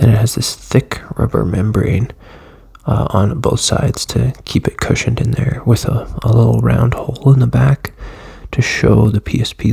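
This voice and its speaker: Over noticeable background noise, a man speaks quietly at a moderate pace. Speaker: tech video creator. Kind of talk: casual product walkthrough. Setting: at home, early morning. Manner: casual, hesitant with fillers.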